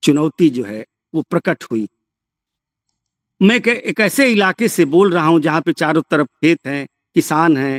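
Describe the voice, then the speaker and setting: A man with a Bihari accent, high-pitched, with lively intonation and a dry, close sound with no echo. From Bhojpuri-speaking region, eastern Uttar Pradesh/western Bihar. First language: Bhojpuri (speaking Hindi). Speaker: professor. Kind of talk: lecture. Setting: remote lecture from a village.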